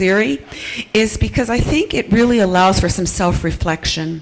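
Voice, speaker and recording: Amid noticeable background noise, a woman speaks at a medium pitch and moderate pace with ordinary pitch variation. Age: 60s. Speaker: nurse midwife and audience member. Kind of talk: audience question at panel. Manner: hesitant, many fillers.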